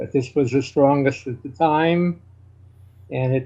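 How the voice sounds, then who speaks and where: A somewhat breathy man with an American accent, at a moderate pace and with fairly even intonation. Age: 70s. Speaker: chess grandmaster. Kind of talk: interview. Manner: halting.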